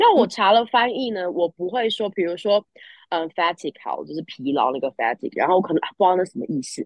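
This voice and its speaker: A woman's very fast-paced speech with lively intonation. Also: medium pitch for a woman. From Taiwan, with childhood years in the US. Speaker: guest who studied abroad, living in Australia. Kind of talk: casual chat. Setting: remote call from Australia. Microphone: choppy connection.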